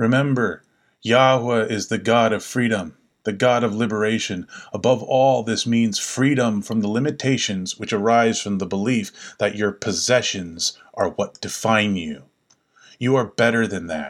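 A man speaks in a normal speaking voice at a medium pitch, with ordinary pitch variation and a moderate pace. The recording is very clean, with a silent background. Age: 40s. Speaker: podcast host exploring the Bible. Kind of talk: scripted narration.

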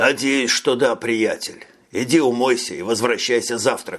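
The pitch moves with ordinary variation. It is a natural reading voice.

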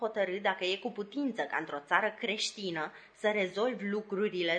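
The pitch variation stays ordinary. The text is read aloud in a natural voice.

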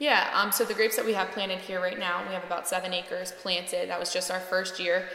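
A woman with an American accent speaks at a very fast pace, with hardly any pauses and monotone, flat intonation. Audible room echo and noticeable background noise are present. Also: medium pitch for a woman. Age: 20s. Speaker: winemaker. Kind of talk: interview. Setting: at a winery.

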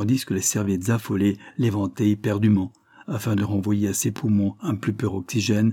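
What we hear is a natural reading voice.

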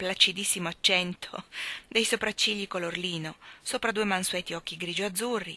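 Reading in a natural reading voice, with pitch that varies in an ordinary way

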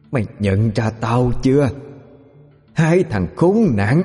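In a put-on character voice, a man speaks at a medium pitch and fairly slow pace with lively intonation, and hissing runs through the clip. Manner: hissing through clenched teeth, full of hatred.

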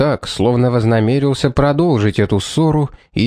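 The pitch moves in an ordinary range as someone reads aloud in a natural voice.

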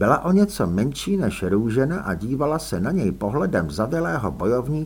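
The words are read aloud in a natural voice.

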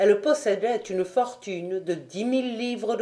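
The pitch moves with ordinary variation. It belongs to a natural reading voice.

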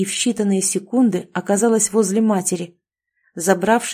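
The background is quiet. Someone reads aloud in a natural voice.

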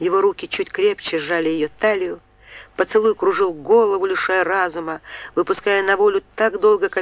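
What is heard here is plain reading aloud.

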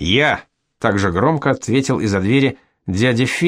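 Quiet surroundings, plain reading aloud, and pitch moving in an ordinary way

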